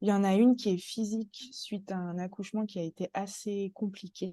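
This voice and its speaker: At a moderate pace, the voice has a dark, mellow tone and fairly even intonation, recorded dry and close with no echo. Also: woman. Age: 30s. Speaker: guest, mother sharing birth story. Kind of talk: testimony.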